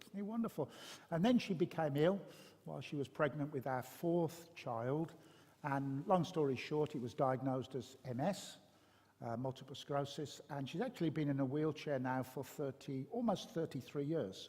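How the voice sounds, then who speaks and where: A man's somewhat breathy voice with a Birmingham accent, dark and mellow in tone, fairly high in pitch, with ordinary pitch variation and a moderate pace. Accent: Birmingham (Brummie). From Birmingham, English West Midlands. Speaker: pastor. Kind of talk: interview testimony. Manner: hesitant, many fillers.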